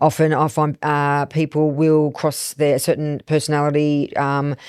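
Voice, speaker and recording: In a very clean recording with a silent background, a woman speaks at a very deep, low pitch with very even loudness and monotone, flat intonation. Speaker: business podcast co-host. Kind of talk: casual podcast discussion. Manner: fast, no pausing.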